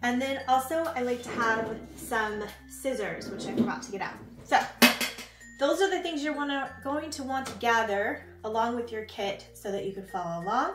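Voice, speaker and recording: Lively intonation at a moderate pace, with audible room echo and music in the background. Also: woman, high pitch for a woman. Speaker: craft kit seller and instructor. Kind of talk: tutorial.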